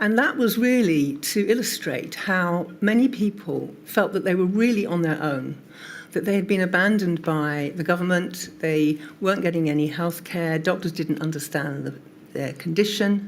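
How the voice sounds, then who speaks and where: An unremarkable speaking voice comes through here. Pace is moderate, with ordinary pitch variation. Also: woman, fairly low pitch for a woman. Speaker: patient advocacy group co-founder. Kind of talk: testimony at a public inquiry.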